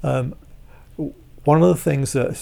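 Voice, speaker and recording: This man's voice has a dark, mellow tone. It is somewhat breathy. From southeast England (Hertfordshire, Walthamstow). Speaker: percussionist and world musician. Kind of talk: casual interview chat. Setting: at a home.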